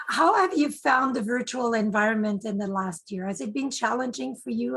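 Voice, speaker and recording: A woman speaks in a somewhat breathy voice with a French Canadian accent. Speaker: club public relations officer, interviewer. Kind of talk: casual interview. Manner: halting.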